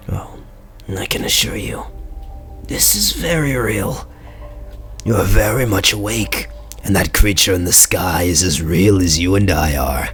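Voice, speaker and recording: Against clear background noise, a man uses a raspy put-on character voice, very deep and low, at a moderate pace with very wide pitch swings. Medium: read story. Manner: casual, friendly.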